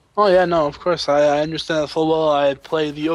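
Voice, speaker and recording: A man with a fairly high pitch talks fairly quickly. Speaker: esports caster. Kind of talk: live commentary. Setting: live stream.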